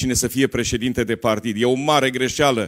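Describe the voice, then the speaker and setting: The voice keeps a monotone, flat intonation at a moderate pace. The background is quiet. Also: man. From Romania. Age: 60s. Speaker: politician. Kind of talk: political speech. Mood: dissatisfied, critical. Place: hall. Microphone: handheld.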